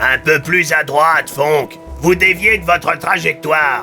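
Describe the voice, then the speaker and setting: A man does a put-on character voice with a fairly high pitch. He speaks at a fairly slow pace over clear background music. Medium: read story. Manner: casual, familiar.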